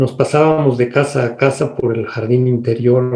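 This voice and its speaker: Somewhat breathy, a man talks at a medium pitch with a dark, mellow tone. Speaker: radio announcer and host. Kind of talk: interview answer, life story.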